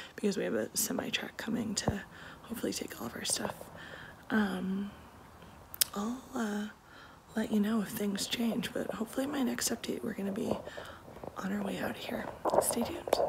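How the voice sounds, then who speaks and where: Through noticeable background noise, a woman speaks at a moderate pace with long, frequent pauses. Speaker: family vlogger. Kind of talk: casual vlog chat. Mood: frazzled but wry. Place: home room. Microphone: phone near.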